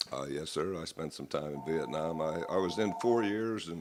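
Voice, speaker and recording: Through noticeable background noise, a man with a very deep, low pitch speaks at a moderate pace with ordinary pitch variation. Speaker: Marine Corps veteran. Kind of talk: live radio interview.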